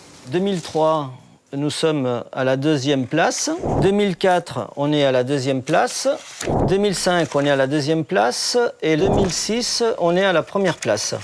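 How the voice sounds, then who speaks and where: A man speaks at a moderate pace and a fairly high pitch, with lively intonation. His loudness stays very even, and there is noticeable background noise. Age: 60s. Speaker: boat owner. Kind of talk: interview.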